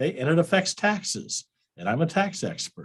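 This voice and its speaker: A man speaks in a somewhat breathy voice. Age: 70s. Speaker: payroll company founder and tax expert. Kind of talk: interview.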